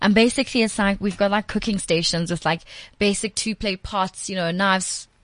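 This woman has a plain, everyday voice at a medium pitch. She talks at a fairly quick pace with fairly even intonation. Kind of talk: casual chat.

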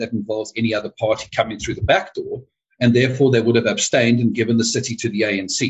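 A somewhat breathy man at a very fast pace, his pitch medium. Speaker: party chairperson. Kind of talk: interview.

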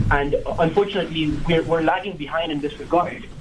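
A fairly high male voice over noticeable background noise. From Kenya, Nairobi. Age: 20s. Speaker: film reviewer, law student. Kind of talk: radio interview. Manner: halting.

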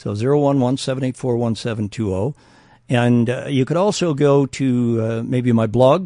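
A man speaks at a moderate pace in a medium pitch, his tone dark and mellow, with a quiet background behind him. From Canada. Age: 70s. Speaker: marketing and sales consultant. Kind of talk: radio interview. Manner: jovial, humorous.

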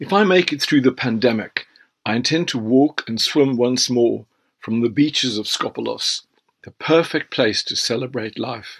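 A moderate pace and ordinary pitch variation in a South African accent, with a dry, close sound and no echo. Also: man, medium pitch for a man. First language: Afrikaans. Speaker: author. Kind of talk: reading aloud.

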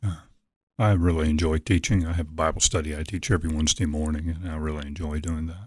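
Very fast and somewhat breathy, a man with an American accent and a very deep, low pitch speaks with fairly even intonation over a quiet background. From Virginia, Norfolk. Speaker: pastor. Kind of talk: sermon excerpt; radio interview.

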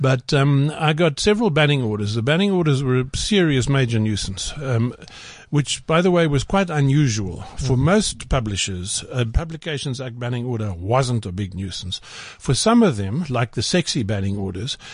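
A somewhat breathy voice over a quiet background. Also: man. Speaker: writer and journalist. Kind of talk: casual studio interview.

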